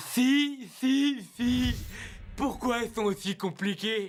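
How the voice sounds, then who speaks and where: A put-on character voice sits at a fairly high pitch. It moves at a very slow pace. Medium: fan dub. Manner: cocky, taunting.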